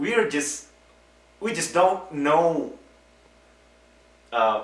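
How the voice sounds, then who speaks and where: A man with a non-native accent talks at a fairly high pitch with very wide pitch swings. Audible room echo and noticeable background noise surround his voice. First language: not English. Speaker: earthquake expert interviewee. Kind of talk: interview explanation.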